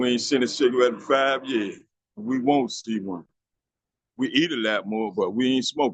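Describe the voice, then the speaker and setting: With lively intonation and a normal speaking voice, a man of medium pitch talks at a moderate pace. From Washington, DC. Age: 60s. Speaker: former smoker sharing his story. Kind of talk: testimony. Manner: casual, conversational.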